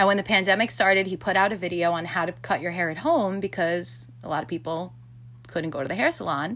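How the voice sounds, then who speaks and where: A woman with an American accent, fairly low pitch, ordinary pitch variation, vocal fry and a very fast pace. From New York City. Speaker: podcast co-host. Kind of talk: casual chat.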